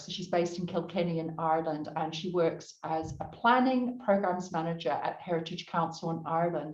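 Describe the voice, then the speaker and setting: At a moderate pace, a woman talks with a New Zealand accent. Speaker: panel moderator. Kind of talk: panel discussion.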